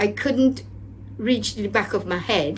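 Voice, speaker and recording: Moderate pace, audible room echo, and music playing in the background. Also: woman. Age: 70s. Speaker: programme participant. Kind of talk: testimony. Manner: halting.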